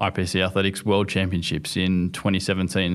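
In a very clean recording with a silent background, a man with an Australian accent speaks at a moderate pace and fairly low pitch in monotone, flat intonation. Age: 20s. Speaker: Paralympic sprinter. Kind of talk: interview.

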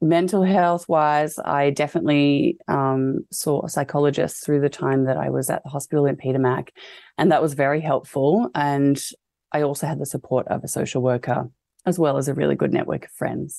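In an Australian accent, a woman talks at a moderate pace with fairly even intonation in a very deep, low voice of dark, mellow tone. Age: 30s. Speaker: fashion designer and cancer patient. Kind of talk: interview testimony.

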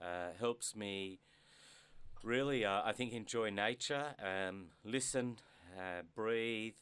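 A man with an Australian accent and a bright, sharp tone. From Australia, Melbourne. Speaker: business executive. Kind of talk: interview. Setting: studio. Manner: halting, many fillers.

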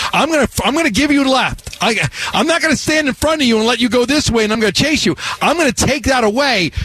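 Over noticeable background noise, a man in an American accent talks at a very fast pace with an extremely high pitch and very even loudness. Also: ordinary pitch variation, hardly any pauses. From New York. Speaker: sports radio host. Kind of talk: sports talk radio. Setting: radio studio.

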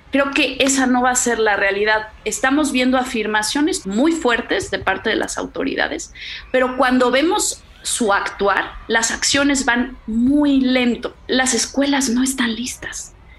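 Over noticeable background noise, a woman with a high pitch speaks at a fairly slow pace with hardly any pauses, very even loudness and ordinary pitch variation. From Mexico City. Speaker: mother. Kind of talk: interview. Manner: articulate.

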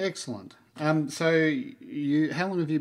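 Fairly high-pitched male voice with an Australian accent and ordinary pitch variation. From Melbourne, Australia. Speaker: podcast host. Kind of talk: interview.

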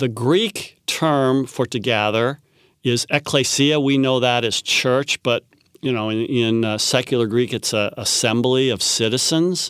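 A man with an ordinary speaking voice talks fairly slowly at a medium pitch, with ordinary pitch variation. The sound is dry and close with no echo, and the recording is very clean, with a silent background. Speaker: biblical scholar. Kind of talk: interview.

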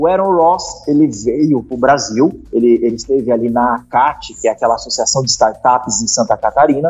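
A man's voice with music in the background. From Curitiba, southern Brazil. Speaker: sales startup founder and teacher. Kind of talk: casual interview.

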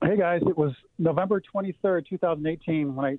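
Here is a man with an American accent. He talks at a very fast pace with ordinary pitch variation. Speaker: caller. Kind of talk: casual chat. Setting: phone call.

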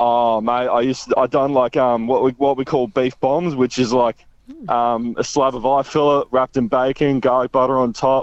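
A man speaks at a moderate pace and medium pitch with an Australian accent. His intonation is monotone and flat. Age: 20s. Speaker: butcher. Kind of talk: casual chat. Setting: phone call.

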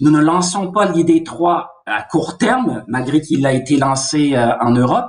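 This man's voice sits at a fairly high pitch. It moves through very wide pitch swings. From Canada. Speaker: car company executive. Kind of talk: interview.

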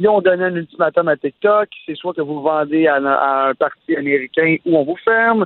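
This man has an ordinary speaking voice with a fairly high pitch. He speaks at a moderate pace with ordinary pitch variation. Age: 30s. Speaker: entrepreneur and sports/tech commentator. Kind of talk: casual chat.

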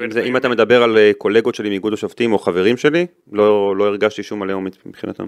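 The man has an unremarkable speaking voice, fairly low in pitch with ordinary pitch variation. He speaks at a fairly quick pace. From Israel, Netanya. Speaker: retired football referee. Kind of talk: interview.

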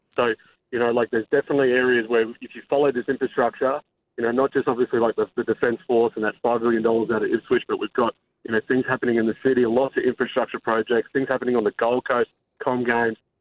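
With an Australian accent, a man talks at a very fast pace at a medium pitch. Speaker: real estate expert. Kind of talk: interview. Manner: excitable.

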